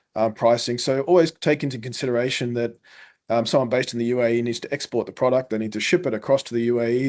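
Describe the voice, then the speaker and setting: In a strong Queensland accent, a man talks at a very fast pace and medium pitch over a quiet background. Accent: thick Australian Queensland. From Queensland, Australia. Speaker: food exporter and brand founder. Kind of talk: webinar panel discussion.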